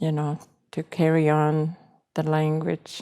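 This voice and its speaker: A woman speaks with a very deep, low pitch and a dark, mellow tone. Her pace is very slow and her intonation monotone and flat. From Maskwacis, Alberta, Canada (First Nations reserve). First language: Cree. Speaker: Cree language teacher. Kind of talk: interview.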